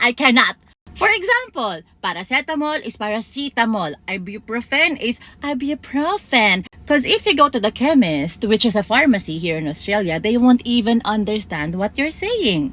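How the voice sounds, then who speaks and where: At a moderate pace, a woman speaks with a fairly high pitch, very wide pitch swings and a bright, sharp tone. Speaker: content creator. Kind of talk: comedic monologue. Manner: animated.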